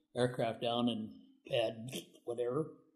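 At a moderate pace, a man speaks at a medium pitch with a Midwestern American accent. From US Midwest, northeast Iowa. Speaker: retired navy veteran. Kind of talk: interview.

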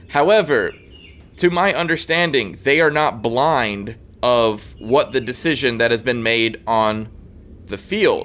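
The speaker is a man with an American accent and an ordinary speaking voice. He has a medium pitch and a fairly slow pace. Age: 20s. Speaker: sports podcast co-host. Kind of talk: casual chat. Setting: outdoors on vacation, remote recording.

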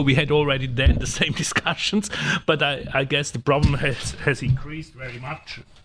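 At a moderate pace, a man with a fairly high pitch talks in a plain, everyday voice. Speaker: newspaper editor. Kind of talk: casual chat.

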